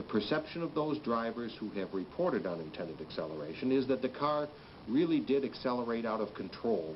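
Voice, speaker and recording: Against light background noise, a man with a confident tone talks at a medium pitch and a fairly quick pace. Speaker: company spokesman. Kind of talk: vintage corporate PR film address, scripted company statement. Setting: corporate film, recorded statement to camera. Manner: formal, measured, earnest and reassuring; confident, emphatic on repeated 'that's a fact'. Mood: earnest, reassuring. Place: office.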